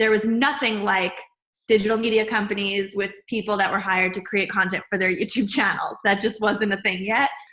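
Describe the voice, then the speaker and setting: In an ordinary speaking voice, a woman talks at a medium pitch and fairly quick pace, her intonation fairly even and her loudness very even. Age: 20s. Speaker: video producer and lifestyle host. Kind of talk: interview.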